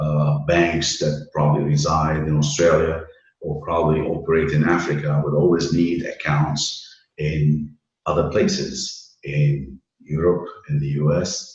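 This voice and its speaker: Somewhat breathy and very deep, a man's low-pitched voice moves at a fairly slow pace with monotone, flat intonation and audible room echo. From Lebanon (Beirut). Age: 60s. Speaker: banking risk and credit professional. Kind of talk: interview.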